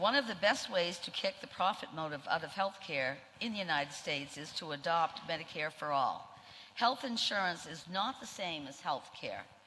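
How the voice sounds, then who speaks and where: Here is a woman with a Maine accent and a fairly low pitch. Her intonation is lively, and her loudness swings widely. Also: moderate pace. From Maine, Portland. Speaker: nurse, union leader. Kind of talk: speech.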